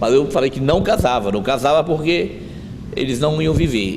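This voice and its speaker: Noticeable background noise sits behind a man's voice. His pitch is medium and his intonation lively. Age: 60s. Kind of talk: interview, personal testimony.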